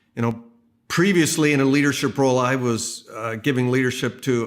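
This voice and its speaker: A man speaks in a normal speaking voice at medium pitch and a moderate pace. His intonation stays fairly even, and the recording is very clean with a silent background. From Canada. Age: 60s. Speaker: pastor. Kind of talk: sermon. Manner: conversational.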